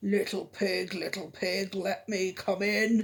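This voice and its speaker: A put-on character voice growls at a middle pitch. The pace is fairly slow. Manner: growling.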